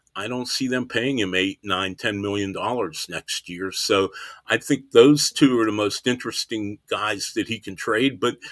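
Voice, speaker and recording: On a very clean recording with a silent background and a dry, close sound with no echo, a man with an American accent speaks in a plain, everyday voice at medium pitch, a moderate pace, and ordinary pitch variation. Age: 60s. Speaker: baseball writer. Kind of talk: podcast interview.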